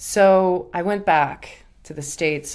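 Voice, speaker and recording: Captured in a very clean recording with a silent background, a woman speaks with ordinary pitch variation. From Russia. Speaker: podcast host and tango dancer. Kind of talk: solo podcast monologue.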